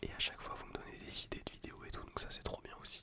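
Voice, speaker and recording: A man whispering at a fairly quick pace, with noticeable background noise. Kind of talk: ASMR casual talk to camera. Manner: whispered; casual, slangy.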